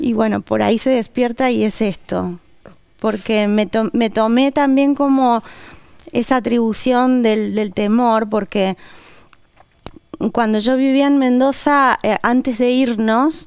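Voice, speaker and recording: With long, frequent pauses and very even loudness, a woman speaks at a very slow pace and fairly high pitch in a fairly even intonation. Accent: Castilian. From Argentina, raised partly in Spain. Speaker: novelist. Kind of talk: interview.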